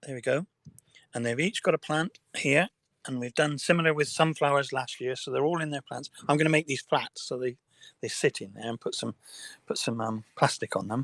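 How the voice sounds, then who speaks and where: A man with an English accent speaks fairly quickly, his pitch fairly high and ordinarily varied. The sound is dry and close, with no echo. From England. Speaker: livestreamer. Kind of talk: casual chat. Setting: outdoors in a greenhouse. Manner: hesitant, repeating words.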